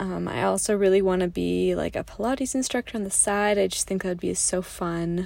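Very clean recording of a woman's voice, the background silent. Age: 20s. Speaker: podcast host, graduate student. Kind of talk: casual solo monologue. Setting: in a parked car. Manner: chatty, many fillers and laughs.

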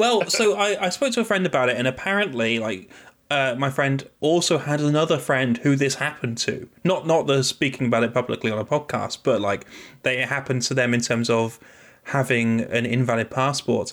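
Speaking with a British accent, a man moves at a fairly quick pace with lively intonation and a medium pitch, on a very clean recording with a silent background. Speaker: podcast host. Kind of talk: casual banter. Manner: joking, teasing.

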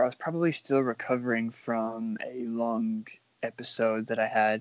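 In an unremarkable speaking voice, a man talks fairly slowly at a medium pitch with fairly even intonation. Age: 20s. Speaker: podcast co-host and social media creator. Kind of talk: casual chat.

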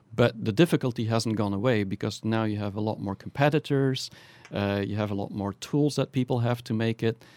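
A man with a Flemish accent, medium in pitch, at a fairly quick pace, with ordinary pitch variation and a dry, close sound with no echo. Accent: Belgian (Flemish) English. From Belgium. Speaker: startup founder and managing director. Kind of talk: interview.

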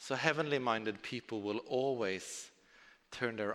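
The speaker goes at a fairly slow pace with ordinary pitch variation. The recording is very clean, with a silent background. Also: man. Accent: Norwegian. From southern Norway. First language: Norwegian. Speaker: preacher. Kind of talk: sermon.

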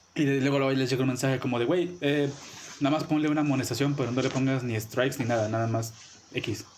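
A man with a Mexican accent at a very fast pace, very even loudness, audible room echo and noticeable background noise. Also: medium pitch for a man, fairly even intonation. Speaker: podcast co-host. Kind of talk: casual chat.

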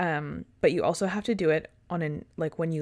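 In a very clean recording with a silent background, a woman with a fairly low pitch and an unremarkable speaking voice talks at a moderate pace. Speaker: true crime podcast co-host. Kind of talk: casual chat and case narration.

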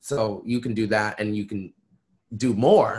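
An unremarkable speaking voice from a medium-pitched man, fairly even in intonation, on a very clean recording with a silent background. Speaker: musician. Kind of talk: casual interview.

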